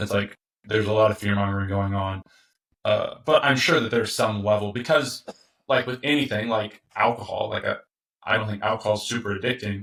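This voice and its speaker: A man with an American accent and an ordinary speaking voice talks fairly quickly at a fairly low pitch, keeping his intonation fairly even. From US Midwest, Indiana. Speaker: tobacco business founder. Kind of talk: casual interview conversation.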